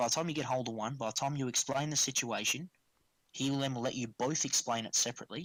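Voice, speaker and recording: Someone talks at a very fast pace with a strong Australian accent. The sound is dry and close with no echo, and the recording is very clean against a silent background. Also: man, medium pitch for a man. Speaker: tabletop wargaming tournament player. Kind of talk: casual podcast chat. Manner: animated.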